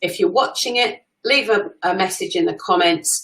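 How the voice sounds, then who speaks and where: With an English accent, a woman speaks at a fairly slow pace. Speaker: social media coach. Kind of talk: live stream talk. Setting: live stream. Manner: loud; talkative.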